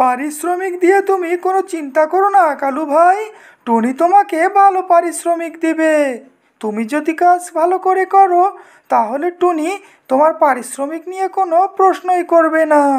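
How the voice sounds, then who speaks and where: A woman's cartoonish character voice, extremely high in pitch, at a fairly slow pace. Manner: friendly, courteous.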